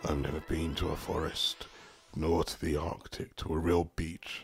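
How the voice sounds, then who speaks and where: A man does a put-on character voice, raspy and very deep and low. He goes at a fairly slow pace over faint music in the background. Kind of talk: wistful storytelling monologue. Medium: audio drama. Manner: longing, reflective, lyrical.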